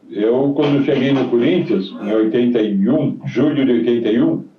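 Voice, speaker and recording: A man at medium pitch, fairly slow pace and very even loudness, with lively intonation over noticeable background noise. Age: 70s. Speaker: retired footballer. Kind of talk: interview.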